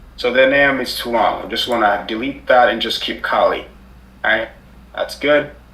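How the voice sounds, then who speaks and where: A man speaks fairly quickly, his voice carrying audible room echo. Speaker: cybersecurity instructor. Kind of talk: live tutorial. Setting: live online class with screen sharing.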